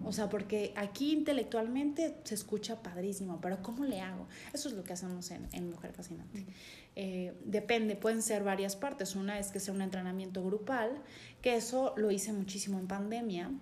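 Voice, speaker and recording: With audible room echo, a woman speaks at a moderate pace in a medium pitch with ordinary pitch variation. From Chiapas, Mexico (San Cristóbal de las Casas). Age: 30s. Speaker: life coach. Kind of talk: interview conversation.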